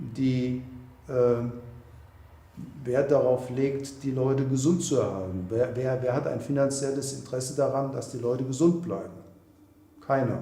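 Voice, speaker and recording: In a room with audible echo, a man speaks at a moderate pace and medium pitch with fairly even intonation and long, frequent pauses. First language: German. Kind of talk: documentary interview.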